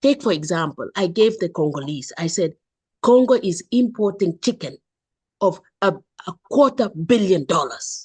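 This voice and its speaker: A woman with a medium-pitched, somewhat breathy voice speaks at a moderate pace, her pitch swinging very widely. The sound is dry and close, with no echo. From Kenya. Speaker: entrepreneur. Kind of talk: online forum discussion. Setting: video call. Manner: animated; impassioned.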